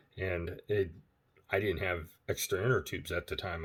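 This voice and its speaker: A man with a very deep, low pitch speaks quietly. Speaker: ebike repair video maker. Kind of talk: casual tutorial. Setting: at home, laptop camera. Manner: quiet, hushed; halting with many fillers.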